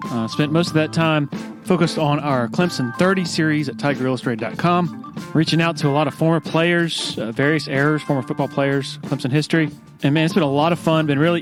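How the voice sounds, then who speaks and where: A man talks at a fairly quick pace, his pitch varying in an ordinary way as music plays in the background. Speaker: podcast host. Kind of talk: podcast intro.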